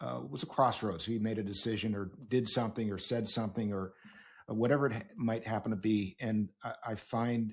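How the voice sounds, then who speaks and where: This man has an ordinary speaking voice, fairly low in pitch, with fairly even intonation. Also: moderate pace. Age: 60s. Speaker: podcast host. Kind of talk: podcast interview.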